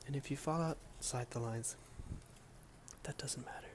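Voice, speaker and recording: The speaker is soft-spoken against noticeable background noise. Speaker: silk painter. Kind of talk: ASMR soft-spoken talk to camera while painting. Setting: home room with outdoor noise. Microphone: phone near.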